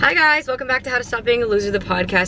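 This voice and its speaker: Over noticeable background noise, a woman speaks at a very fast pace in an animated tone with ordinary pitch variation. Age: 20s. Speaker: podcast host. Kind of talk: casual monologue. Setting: in a car.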